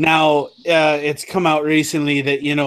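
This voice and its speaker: A man speaks with an Irish accent. His pitch is fairly high. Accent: Irish, slipping into it deliberately. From Ireland (Limerick), moved there at six. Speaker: roundtable podcast panelist. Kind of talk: casual political roundtable chat.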